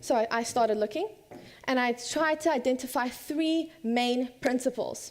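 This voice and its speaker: A woman with an American accent speaks with ordinary pitch variation. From South Africa and USA (third culture kid). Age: 20s. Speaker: student speaker. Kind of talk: conference talk.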